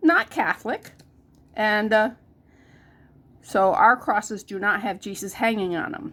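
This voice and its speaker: In a very clean recording with a silent background, a woman speaks at a fairly high pitch and a fairly slow pace, with lively intonation and long, frequent pauses. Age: 60s. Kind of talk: casual tutorial vlog. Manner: casual, with hesitations.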